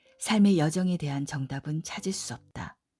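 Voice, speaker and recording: Music plays in the background as a woman with a fairly low pitch speaks at a moderate pace with ordinary pitch variation, the sound dry and close with no echo. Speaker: audiobook narrator. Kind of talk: audiobook essay reading, sleep-friendly narration.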